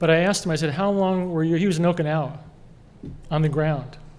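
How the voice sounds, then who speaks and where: Audible room echo surrounds a man with an American accent who speaks at a fairly high pitch with fairly even intonation. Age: 60s. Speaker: award honoree, cybersecurity expert. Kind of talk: award acceptance speech. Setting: gala dinner with audience.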